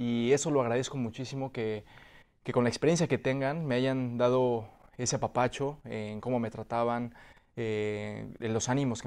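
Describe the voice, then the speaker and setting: Fairly even intonation marks a man's speech, with a quiet background behind it. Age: 30s. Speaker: actor. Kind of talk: interview. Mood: warm, grateful. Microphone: video call.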